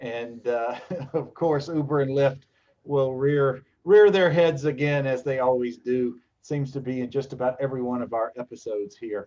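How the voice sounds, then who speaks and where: At a moderate pace, a man with an American accent and a plain, everyday voice speaks at medium pitch with ordinary pitch variation. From Los Angeles, US West Coast. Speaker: lawyer and show host. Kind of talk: livestream talk show.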